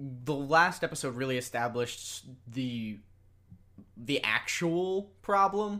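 A loud man shouts with lively intonation at a medium pitch. His tone is bright and sharp, on a very clean recording with a silent background. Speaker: podcast host. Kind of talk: casual chat, episode discussion. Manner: loud, can yell.

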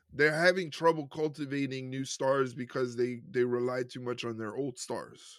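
Speaking in a New York accent at a moderate pace, the voice keeps fairly even intonation on a very clean recording with a silent background. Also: man. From New York City, Puerto Rican family. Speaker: wrestling podcast co-host. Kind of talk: casual chat.

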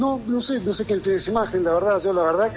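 This man's high voice rises and falls with lively intonation against noticeable background noise. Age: 50s. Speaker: local political candidate, hotelier. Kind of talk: radio interview. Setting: phone call. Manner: halting, many repetitions.

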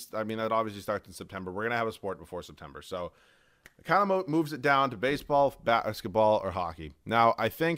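In a plain, everyday voice, a man talks at a fairly quick pace with lively intonation and a fairly low pitch. The recording is very clean, with a silent background. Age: 20s. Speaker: solo sports podcaster and video creator. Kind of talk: casual solo monologue.

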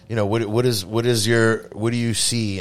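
A man with an American accent. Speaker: podcast host and pizza maker. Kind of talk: casual interview chat. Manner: casual, unscripted.

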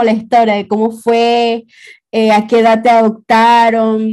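A woman talks at a fairly slow pace with a fairly high pitch. Her tone is dark and mellow. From Venezuela. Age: 20s. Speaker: graphic designer. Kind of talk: personal testimony in casual interview.

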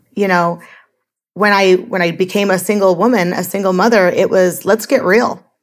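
This woman has a normal speaking voice, medium in pitch, with fairly even intonation at a moderate pace. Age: 40s. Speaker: life coach guest, former hospitality worker. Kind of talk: casual interview.

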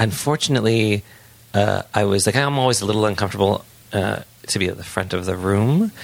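Fairly quick delivery in an ordinary speaking voice, pitch varying in an ordinary way. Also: man. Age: 40s. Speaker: sex educator and author. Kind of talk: casual chat.

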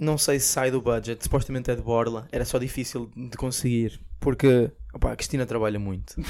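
Fairly even intonation and a fairly quick pace in a normal speaking voice. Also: man. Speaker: podcast co-host. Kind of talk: casual chat.

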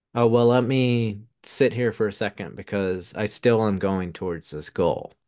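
A man with a Southern US accent speaks at a medium pitch and a moderate pace. His pitch varies in an ordinary way against a quiet background. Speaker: podcast guest, UX/UI designer and musician. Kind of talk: casual interview conversation. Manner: rambling, hesitant, filler-heavy.

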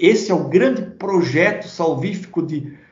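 There is audible room echo around this voice. A man speaks very slowly at a high pitch. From southern Brazil, Santa Catarina (Blumenau). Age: 50s. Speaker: pastor and Bible commentator. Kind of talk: interview about theology. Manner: hesitant, with frequent repetitions.

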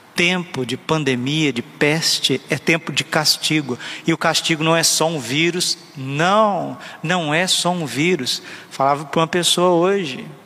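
Noticeable background noise sits behind this man. He speaks at a fairly slow pace with a fairly high pitch. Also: ordinary pitch variation. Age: 30s. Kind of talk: sermon.

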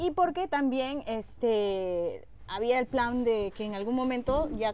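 A woman with a fairly high pitch. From Peruvian Amazon. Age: 40s. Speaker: TV news reporter. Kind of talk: casual chat. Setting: outdoors by a pool at a home.

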